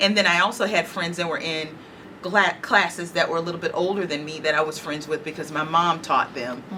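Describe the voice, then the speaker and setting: This woman speaks at a fairly quick pace in a fairly low pitch with ordinary pitch variation. Noticeable background noise runs underneath. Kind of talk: interview answer.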